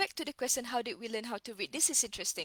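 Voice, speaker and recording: A woman speaks in a high pitch with a Malaysian accent and a bright, sharp tone. The recording is dry and close, with no echo. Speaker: reading educator. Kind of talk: casual live-stream lecture. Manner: code-switching with Malay fillers, halting.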